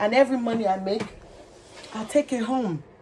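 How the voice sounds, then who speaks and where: A woman with a Nigerian accent, amid noticeable background noise. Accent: Nigerian (Yoruba) English. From Nigeria, Lagos. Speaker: vlogger. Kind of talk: personal testimony.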